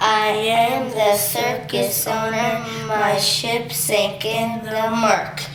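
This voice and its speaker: Using a put-on character voice at a fairly high pitch, a woman talks at a very slow pace with hardly any pauses, against loud background noise and a slight echo. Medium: read story.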